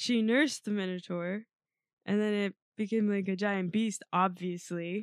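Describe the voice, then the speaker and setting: A plain, everyday voice talks at a moderate pace with fairly even intonation and very even loudness, the sound dry and close with no echo. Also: woman, medium pitch for a woman. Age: 20s. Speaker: podcast co-host. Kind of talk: casual chat.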